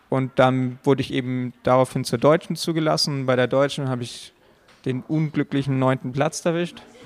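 A normal speaking voice, a man's, medium in pitch, at a moderate pace with fairly even intonation, in a dry, close sound with no echo. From Allgäu, Bavaria, Germany. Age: 20s. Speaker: competitive climber. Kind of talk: interview. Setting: climbing gym.

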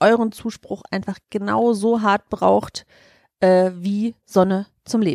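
A woman with a Cologne accent speaks at a very slow pace with ordinary pitch variation, in a dry, close sound with no echo. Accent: Kölsch (Cologne dialect). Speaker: podcast co-host. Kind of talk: casual chat.

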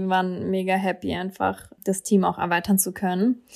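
The recording is very clean, with a silent background. A woman speaks at a moderate pace in a medium pitch. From Berlin, Germany. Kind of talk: interview.

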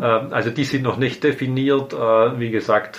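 A man talks very slowly, his intonation fairly even. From Swabian Alb, Baden-Württemberg, Germany. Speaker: mayor. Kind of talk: interview.

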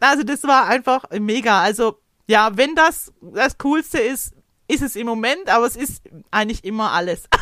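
A woman speaks in an unremarkable speaking voice at a moderate pace. Her fairly high pitch moves with lively intonation. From Hohenlohe, Baden-Württemberg. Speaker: craft demonstrator. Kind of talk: casual chat.

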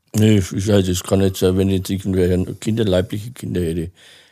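A man's very deep, low voice, dark and mellow in tone, at a moderate pace with ordinary pitch variation. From Franconia, Germany (near Nuremberg). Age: 60s. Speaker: interview guest with dwarfism. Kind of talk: casual interview.

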